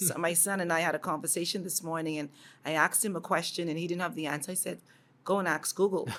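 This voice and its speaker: Speaking very fast with a Bahamian accent, a woman has a fairly low pitch. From Bahamas. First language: Bahamian dialect. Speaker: educator. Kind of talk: interview. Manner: animated.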